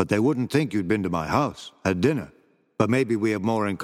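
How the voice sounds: The voice reads. It is a natural reading voice.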